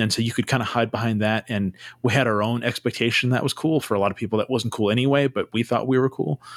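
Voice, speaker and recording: In a very clean recording with a silent background, a man speaks very fast at a medium pitch, his intonation fairly even and his loudness very even. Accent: American. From US West Coast (Santa Cruz, California). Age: 40s. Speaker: podcast host. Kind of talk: casual chat.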